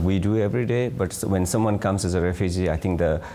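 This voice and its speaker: A man's very deep, low voice with ordinary pitch variation, over noticeable background noise. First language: non-English. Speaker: refugee support worker. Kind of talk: panel discussion.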